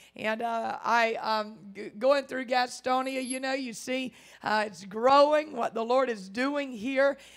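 Over a quiet background, a woman speaks with a high pitch. She keeps a fairly slow pace and fairly even intonation. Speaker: guest preacher. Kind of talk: sermon. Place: church. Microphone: handheld.

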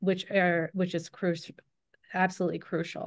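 A woman speaks at a medium pitch with an American accent. The background is quiet. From New Jersey (Cherry Hill); New Jersey. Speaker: low vision optometrist. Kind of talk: online panel presentation. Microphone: video call.

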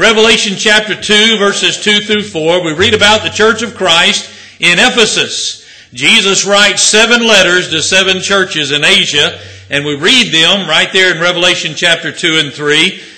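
Ordinary pitch variation shapes a man's voice that is high in pitch. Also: moderate pace. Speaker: visiting preacher. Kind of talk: sermon. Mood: warm, joking. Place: church. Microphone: podium.

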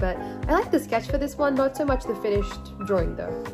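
Very fast female speech, music playing underneath. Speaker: artist. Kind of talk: casual talk to camera.

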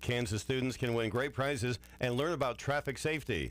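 Using vocal fry and ordinary pitch variation, a man talks at a fairly quick pace in a dry sound with no echo. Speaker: radio news reader. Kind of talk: radio news and weather reading. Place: studio.

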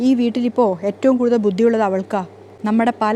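The speaker uses a natural reading voice. It carries through the whole clip.

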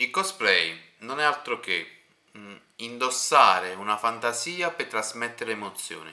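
A normal speaking voice moves at a fairly slow pace. The intonation is lively. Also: man, medium pitch for a man. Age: 30s. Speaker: interviewer and streamer. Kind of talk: casual interview.

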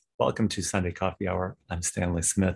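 The speaker is a man. He keeps a moderate pace. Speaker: show host. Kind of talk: scripted monologue commentary. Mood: calm, gently wry. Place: home room. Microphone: webcam.

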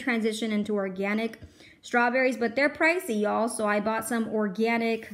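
Fairly even intonation comes with a moderate pace. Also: woman. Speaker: home shopper vlogger. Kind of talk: casual vlog chat. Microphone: phone near.

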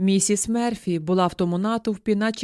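A natural reading voice carries the clip.

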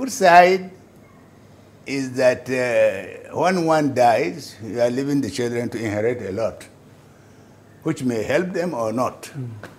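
Speaking with a Nigerian accent, a man uses lively intonation at a fairly slow pace, leaving long, frequent pauses. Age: 80s+. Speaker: businessman; interviewee. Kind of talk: interview. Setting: at home. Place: home room.

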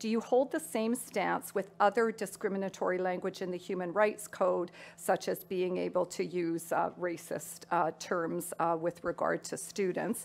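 A woman with vocal fry speaks at a moderate pace and medium pitch, with fairly even intonation and hardly any pauses. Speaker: debate moderator reading audience questions. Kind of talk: moderating, reading questions. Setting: stage with audience. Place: hall. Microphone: podium.

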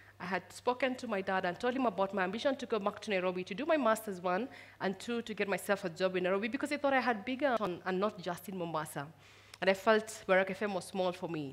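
A woman speaks at a very fast pace in a medium pitch. Her pitch varies in an ordinary way. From Kenya, Taita Taveta County; Kenya. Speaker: storyteller sharing personal loss. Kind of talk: personal testimony talk. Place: stage. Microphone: headset.

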